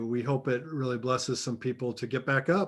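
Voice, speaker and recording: A man with a normal speaking voice and medium pitch speaks at a moderate pace. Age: 50s. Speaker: podcast host. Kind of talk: podcast interview.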